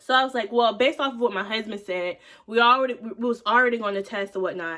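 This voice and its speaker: Loud and fairly quick, a woman speaks with a fairly high pitch. Her tone is bright and sharp, with ordinary pitch variation. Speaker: vlogger. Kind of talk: casual chat. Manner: fast.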